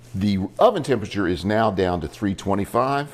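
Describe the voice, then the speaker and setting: An animated male voice, fairly low in pitch, with lively intonation and vocal fry. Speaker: cooking show host, lawyer. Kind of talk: cooking tutorial.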